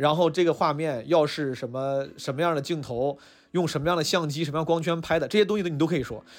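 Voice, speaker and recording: A normal speaking voice from a man, fairly high in pitch with ordinary pitch variation, in a very clean recording with a silent background. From Northeast China. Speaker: podcast host and stand-up comedian. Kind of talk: casual chat. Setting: restaurant.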